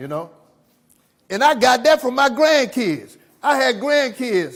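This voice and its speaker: Speaking at a fairly slow pace, a man uses very wide pitch swings and an animated tone. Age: 70s. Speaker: recovery speaker at jail. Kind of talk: motivational talk. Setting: jail audience.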